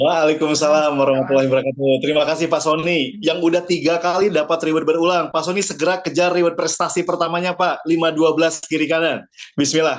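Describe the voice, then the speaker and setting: A man's fairly high, animated voice at a very fast pace with very even loudness. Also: hardly any pauses. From Bandung, West Java, Indonesia. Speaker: business presenter and coach. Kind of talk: online business presentation.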